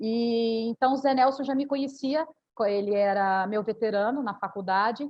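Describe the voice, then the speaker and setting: The speaker is a woman with a high voice. Her pitch moves a normal amount. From Minas Gerais, Brazil (small town near Uberaba). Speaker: lawyer. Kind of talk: live panel talk.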